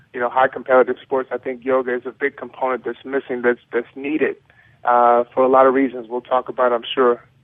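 A man speaks at a fairly quick pace with a medium pitch and monotone, flat intonation. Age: 30s. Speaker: former pro football player and yoga advocate. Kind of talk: radio interview.

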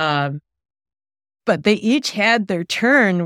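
On a dry, close recording with no echo, a woman speaks at a medium pitch and a very slow pace. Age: 50s. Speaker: pastor. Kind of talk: group conversation.

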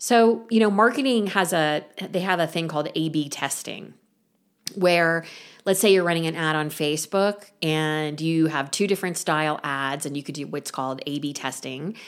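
A woman's plain, everyday voice, fairly low and moderately paced, with ordinary pitch variation, on a very clean recording with a silent background. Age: 50s. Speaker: podcast host and artist coach. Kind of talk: solo talk / monologue.

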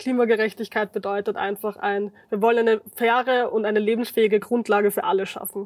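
A woman with a fairly high pitch and an ordinary speaking voice talks at a fairly quick pace. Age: 20s. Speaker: climate activist. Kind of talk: casual chat.

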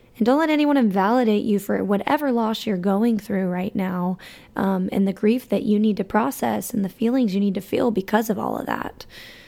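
With an American accent, a woman speaks at a fairly quick pace and medium pitch, with ordinary pitch variation and a dark, mellow tone, in a very clean recording with a silent background. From Alabama. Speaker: podcast host. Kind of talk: personal monologue. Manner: casual, hesitant with many fillers.

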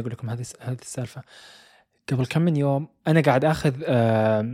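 A dark, mellow, medium-pitched man's voice with ordinary pitch variation and a dry, close sound with no echo. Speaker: podcast host. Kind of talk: storytelling. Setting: home recording room.

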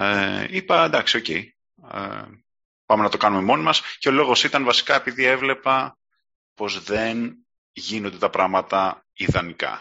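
At a fairly slow pace, a man speaks in an unremarkable speaking voice, fairly low in pitch, with ordinary pitch variation. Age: 30s. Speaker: marketing automation consultant. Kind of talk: casual interview.

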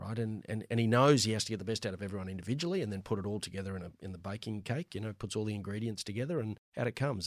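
A man with an Australian accent, fairly low in pitch, with ordinary pitch variation. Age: 50s. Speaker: finance executive. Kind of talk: casual interview. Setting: studio.

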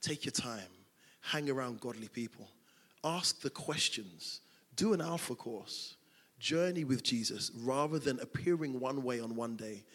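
A man's medium-pitched voice with a London accent, lively intonation and a fairly slow pace. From South London. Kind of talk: interview in a church service. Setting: church stage with congregation.

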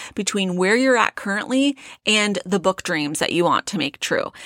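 A woman speaks in an unremarkable speaking voice at a medium pitch, her intonation lively and the recording very clean against a silent background. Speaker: podcast host and author coach. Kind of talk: pep talk. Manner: earnest, fired up, direct; conversational, talks straight to listener.

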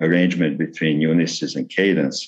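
Talking at a fairly quick pace, a man uses a very deep, low voice with fairly even intonation. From Yugoslavia. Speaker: retired engineer and novelist. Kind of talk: interview. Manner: halting with fillers.

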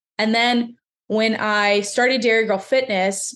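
Delivered with fairly even intonation, this is an ordinary speaking voice. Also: woman. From central Pennsylvania. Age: 20s. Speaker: fitness coach. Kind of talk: interview.

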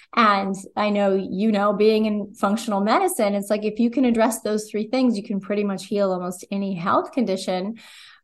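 A woman with an American accent and a medium pitch uses an ordinary speaking voice at a moderate pace, with fairly even intonation and hardly any pauses, against a quiet background. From New Jersey. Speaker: holistic nutritionist. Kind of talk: interview.

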